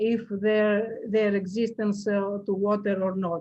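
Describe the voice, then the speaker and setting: Her tone is dark and mellow, and somewhat breathy. The woman speaks at a fairly slow pace. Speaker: researcher presenting a colloquium talk. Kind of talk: academic Q&A after presentation. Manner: halting, many fillers.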